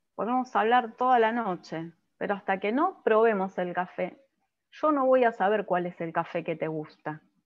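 A woman at medium pitch, speaking at a moderate pace in a normal speaking voice. The background is quiet. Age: 50s. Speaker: physician and coach; coach presenter. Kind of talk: lecture. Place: home room. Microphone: webcam.

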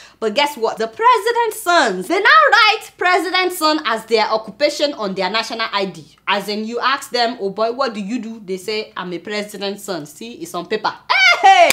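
A woman with a Nigerian accent speaks in an animated tone. Her pitch swings very widely and her loudness varies a lot. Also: moderate pace. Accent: Nigerian (Yoruba) English. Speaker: satirical news show host. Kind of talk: comedic news commentary. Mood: outraged, mocking humor. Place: studio.

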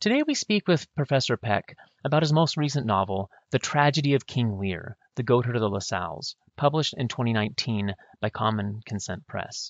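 Speaking at a moderate pace, a man with a medium pitch and lively intonation has an unremarkable speaking voice. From US Pacific Northwest (northwest Washington). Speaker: podcast host, history professor. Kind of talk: scripted introduction; interview.

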